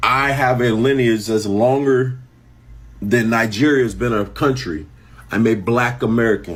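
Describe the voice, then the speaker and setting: The man's pace is fairly slow, and his loudness stays very even. Audible room echo surrounds his voice. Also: medium pitch for a man, ordinary pitch variation. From US. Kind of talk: opinion monologue.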